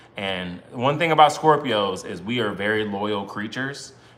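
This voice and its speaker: This man has a bright, sharp tone, fairly low pitch and an American accent. He talks at a moderate pace, with audible room echo. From US Northeast, Brooklyn, New York. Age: 30s. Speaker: married couple content creator. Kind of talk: casual livestream chat. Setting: live stream with spouse.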